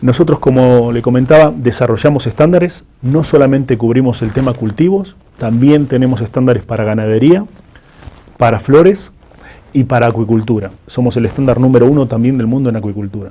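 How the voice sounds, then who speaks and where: A man with an Argentine accent, medium pitch, ordinary pitch variation and a fairly quick pace. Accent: Argentine accent, noted by himself. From Argentina. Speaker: food safety certification executive. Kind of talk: interview.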